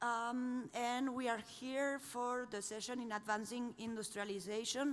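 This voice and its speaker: The speaker talks with a Spanish accent and ordinary pitch variation. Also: woman. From Spain. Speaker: panel moderator. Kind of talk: panel moderation. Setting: conference stage with audience.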